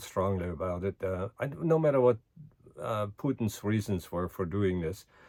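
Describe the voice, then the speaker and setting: Speaking fairly slowly with a German accent, a man with a fairly low pitch is heard in a dry, close sound with no echo and a very clean recording with a silent background. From Germany. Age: 80s+. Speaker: current events vlogger. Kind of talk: casual monologue. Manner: hesitant with many fillers.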